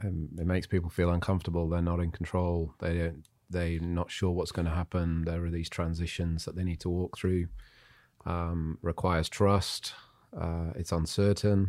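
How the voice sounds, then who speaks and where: The intonation is monotone and flat in an English accent, on a very clean recording with a silent background. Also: man, very deep, low pitch for a man, moderate pace. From Zimbabwe and England. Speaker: pastor and entrepreneur. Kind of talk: casual chat.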